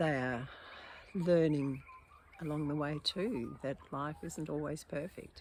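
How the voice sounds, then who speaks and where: Pitched very deep and low, a woman speaks with ordinary pitch variation. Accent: Australian. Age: 80s+. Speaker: poet and video blogger. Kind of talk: casual monologue. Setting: outdoors in garden. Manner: halting, with hesitations.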